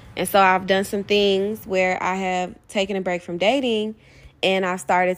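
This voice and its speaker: Heard on a very clean recording with a silent background, a woman with an unremarkable speaking voice talks at a moderate pace. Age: 20s. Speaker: podcast host and poet. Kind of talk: casual monologue.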